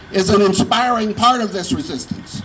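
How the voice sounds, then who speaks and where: A man speaks at a moderate pace with fairly even intonation over noticeable background noise. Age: 70s. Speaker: tenant activist. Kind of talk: prepared activist speech.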